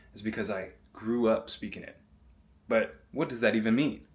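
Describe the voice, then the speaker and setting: Talking at a fairly quick pace, a man with a plain, everyday voice speaks at medium pitch. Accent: American. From US Southeast. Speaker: basketball player and self-improvement vlogger. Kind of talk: motivational vlog monologue. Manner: casual.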